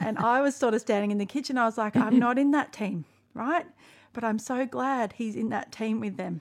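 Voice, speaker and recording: On a very clean recording with a silent background, a woman with an Australian accent speaks quite quickly at a fairly high pitch, with ordinary pitch variation. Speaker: podcast host. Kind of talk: casual chat.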